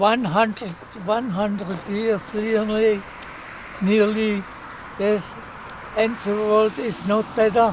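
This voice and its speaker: A man with a German accent speaks very slowly in a high, monotone voice, leaving long, frequent pauses over noticeable background noise. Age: 90s. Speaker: war veteran. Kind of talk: casual chat. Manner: halting.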